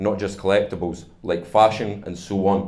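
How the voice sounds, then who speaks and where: A man with a fairly low pitch talks in a room with audible echo. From Scotland. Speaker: startup founder. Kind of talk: conference talk.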